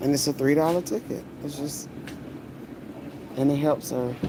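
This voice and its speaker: There is noticeable background noise as a man delivers his words at a moderate pace. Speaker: vlogger. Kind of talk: casual vlog narration.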